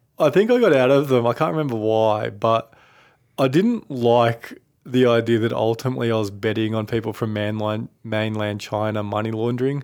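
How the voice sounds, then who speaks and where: A man with an Australian accent talks at a moderate pace and medium pitch, his intonation fairly even. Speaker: finance podcast co-host. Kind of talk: casual chat. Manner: laughs often.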